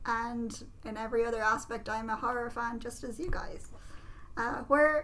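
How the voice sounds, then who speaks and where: A woman speaks in a western Irish accent at a high pitch with ordinary pitch variation. Audible room echo surrounds her voice. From Ireland, Galway. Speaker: podcast co-host, tarot reader. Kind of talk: casual chat.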